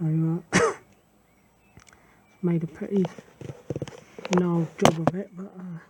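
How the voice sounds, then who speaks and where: Someone mumbles quietly at a fairly slow pace. Noticeable background noise runs underneath. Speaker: scooter owner doing own maintenance. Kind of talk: casual DIY tutorial talk. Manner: mumbling, quiet.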